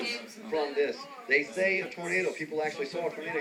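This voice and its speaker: A man talks at a fairly quick pace in a fairly high pitch, his intonation lively, with noticeable background noise behind him. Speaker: TV news reporter. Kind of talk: live TV news report. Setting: outdoors.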